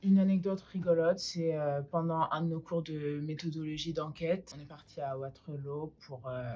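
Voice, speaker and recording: A woman speaks at a moderate pace with a very deep, low pitch and fairly even intonation, barely pausing. Her loudness swings widely, and there is noticeable background noise. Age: 20s. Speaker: university student. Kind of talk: student testimony. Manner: hesitant, many fillers.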